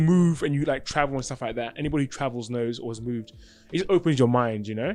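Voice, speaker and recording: Speaking very fast with ordinary pitch variation, a man talks in an English accent. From England. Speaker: podcast and radio host, rapper, videographer. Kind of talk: casual interview chat. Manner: stutters when speaking fast or excited; halting, many fillers.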